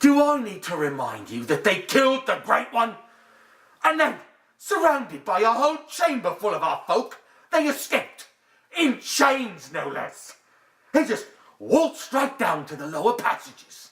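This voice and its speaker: A put-on character voice from a man, extremely high-pitched, at a moderate pace. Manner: threatening, shouting.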